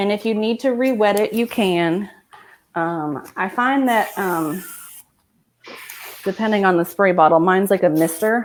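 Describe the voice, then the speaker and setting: A woman speaks at a medium pitch with ordinary pitch variation. Her pace is fairly slow, broken by long, frequent pauses. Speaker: hairstylist. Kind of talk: live tutorial over video.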